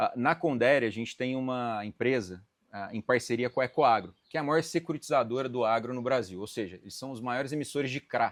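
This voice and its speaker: A strong Minas Gerais accent at a fairly quick pace, with ordinary pitch variation and hardly any pauses. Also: man, medium pitch for a man. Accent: strong mineiro accent, kept. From Brazil, Minas Gerais (Uberlândia). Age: 30s. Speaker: M&A advisor in agribusiness. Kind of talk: podcast interview. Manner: hesitant, many filler 'ah'.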